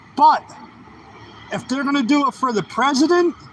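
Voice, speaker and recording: Ordinary pitch variation at a moderate pace. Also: man. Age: 40s. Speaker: live streamer. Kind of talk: casual live-stream talk while riding. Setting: outdoors on a bike ride.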